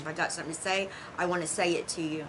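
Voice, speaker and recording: Amid noticeable background noise and audible room echo, a woman with a fairly low pitch speaks fairly quickly in a Southern US accent. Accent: country, rural Southern US. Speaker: tarot teacher. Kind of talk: casual monologue to viewers. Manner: animated, with hand talking; occasional stutter.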